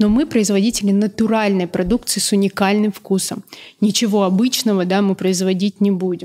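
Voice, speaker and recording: A woman with a medium-pitched voice, a dark, mellow tone, very even loudness and fairly even intonation. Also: moderate pace. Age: 30s. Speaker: food business co-founder; guest. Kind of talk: interview. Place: studio. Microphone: studio mic.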